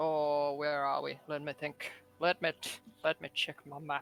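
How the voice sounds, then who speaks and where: A man puts on a character voice, pitched fairly high. He talks at a moderate pace. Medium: actual play. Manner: excitable, rambling.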